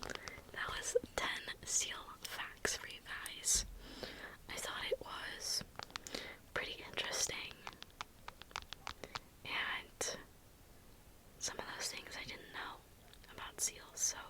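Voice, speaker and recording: Whispering at a very slow pace with long, frequent pauses, a woman's loudness swings widely amid noticeable background noise. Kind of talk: ASMR fun-facts narration to camera. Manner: soft, whispering.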